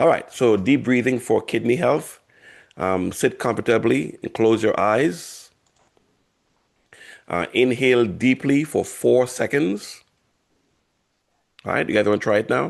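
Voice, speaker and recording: A man's medium-pitched voice with vocal fry and ordinary pitch variation, at a fairly slow pace with long, frequent pauses. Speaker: health educator. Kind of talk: guided breathing exercise; workshop.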